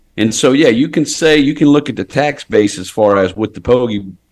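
This man talks at a moderate pace. His voice carries vocal fry. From Port Sulphur, Louisiana. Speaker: fishing guide. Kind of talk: casual chat.

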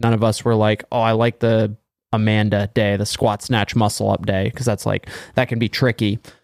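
A man with an unremarkable speaking voice at a medium pitch talks at a fairly quick pace, recorded very cleanly against a silent background with a dry, close sound and no echo. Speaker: podcast host. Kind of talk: casual podcast banter. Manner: profane, joking.

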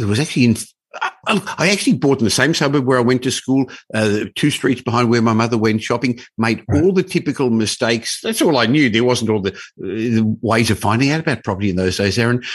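Very fast and very even in loudness, a man with an Australian accent speaks at a medium pitch. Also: ordinary pitch variation. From Australia, Melbourne. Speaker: property investment expert and business owner. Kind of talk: interview. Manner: bubbly, upbeat.

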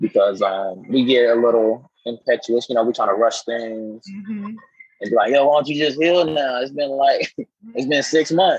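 Here is a man with a plain, everyday voice and an American accent. He uses lively intonation at a moderate pace. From Florida. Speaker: author and poet, Navy veteran. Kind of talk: casual interview.

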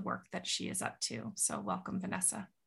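A woman's medium-pitched voice, bright and sharp in tone, with vocal fry. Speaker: podcast host. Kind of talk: interview.

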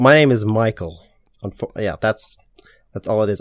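Recorded dry and close with no echo, a man speaks at a medium pitch with an Irish accent. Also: very clean recording, silent background. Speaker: fashion content creator. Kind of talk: casual interview.

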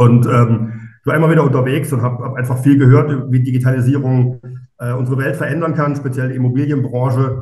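A man's very fast, somewhat breathy delivery at a medium pitch, monotone and flat, with audible room echo. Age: 40s. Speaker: architect and startup co-founder. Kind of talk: podcast interview. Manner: hesitant, many fillers.

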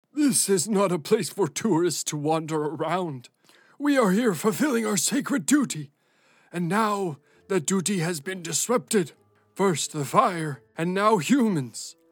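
Over a silent background in a very clean recording, a man talks at a moderate pace, his high voice making very wide pitch swings. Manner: stern, hostile, scolding.

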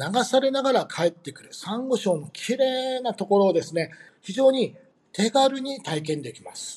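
Very wide pitch swings at a fairly slow pace. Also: man. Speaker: tour company staff. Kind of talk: interview. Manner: halting with many fillers.

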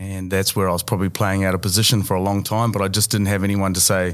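Very fast speech with a New Zealand accent and fairly even intonation, in a very clean recording with a silent background. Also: man. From New Zealand, Bay of Plenty. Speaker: finance broker. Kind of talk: interview.

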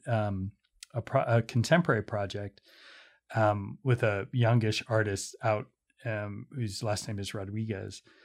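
A man with an American accent speaks at a moderate pace in a fairly low pitch, a plain, everyday voice on a very clean recording with a silent background. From US, Pittsburgh. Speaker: museum director. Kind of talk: casual interview. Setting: in-person studio interview.

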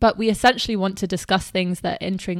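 A woman speaks in a British accent at medium pitch and a fairly quick pace. The sound is dry and close, with no echo. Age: 20s. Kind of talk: casual chat. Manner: animated.

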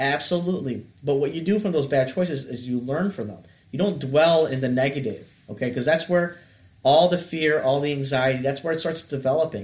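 At a fairly quick pace, this voice comes across as somewhat breathy. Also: man, fairly high pitch for a man, ordinary pitch variation. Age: 30s. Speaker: counselor. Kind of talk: casual chat.

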